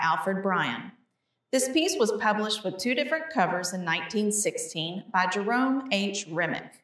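At a fairly slow pace, a woman uses a normal speaking voice with lively intonation. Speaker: museum educator. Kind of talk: educational gallery talk. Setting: museum hallway.

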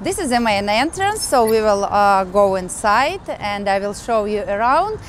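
A woman speaks at a moderate pace, recorded dry with no echo over light background noise. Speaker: language teacher, travel guide. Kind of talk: casual guided tour talk. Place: street.

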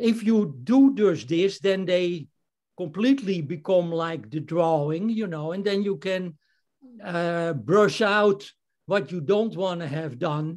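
A man's high-pitched voice with a Dutch accent, lively intonation and a very slow pace. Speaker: amateur photographer, club member. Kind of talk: photo presentation. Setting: video call.

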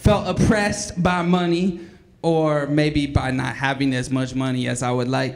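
The speaking pace is moderate. The pitch varies in an ordinary way. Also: man. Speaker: slam emcee. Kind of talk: casual, joking emcee banter between poets. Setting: stage with audience. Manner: relaxed, jokey, conversational, with hesitant fillers. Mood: joking, playful. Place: hall.

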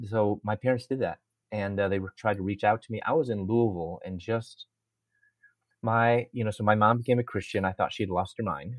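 A man speaks in a plain, everyday voice at a fairly quick pace. His pitch is fairly low, with ordinary variation. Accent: American. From US Midwest (Chicago). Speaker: Bible professor and speaker. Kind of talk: interview testimony.

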